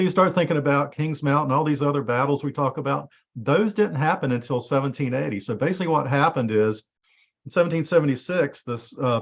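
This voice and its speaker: A man's fairly high-pitched voice at a very fast pace, with ordinary pitch variation. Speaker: genealogy presenter. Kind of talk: presentation.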